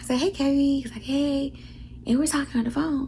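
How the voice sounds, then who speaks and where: Whispered speech from a woman. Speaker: vlogger. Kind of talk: casual vlog talk. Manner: whispering.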